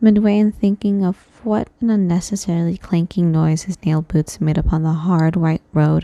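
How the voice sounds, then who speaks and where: A woman with a plain, everyday voice speaks at a moderate pace, fairly low in pitch with ordinary pitch variation. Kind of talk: horror story reading. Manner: soft, calm.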